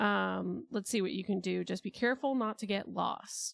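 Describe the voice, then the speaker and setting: Quietly and at a moderate pace, a woman speaks in a very clean recording with a silent background. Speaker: streamer. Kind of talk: casual livestream storytelling. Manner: quiet, chill.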